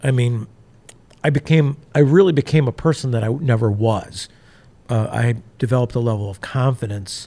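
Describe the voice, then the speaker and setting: With a dark, mellow, somewhat breathy tone, a man speaks at a moderate pace and medium pitch, showing ordinary pitch variation and long, frequent pauses. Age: 60s. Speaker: entrepreneur sharing life story. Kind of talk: interview testimony. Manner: halting, many fillers and restarts.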